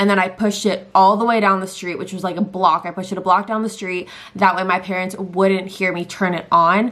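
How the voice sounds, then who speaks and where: A woman with a Californian accent at a very fast pace, over noticeable background noise. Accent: Californian American English. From Southern California. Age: 20s. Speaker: lifestyle and true crime YouTuber. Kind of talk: casual talk to camera.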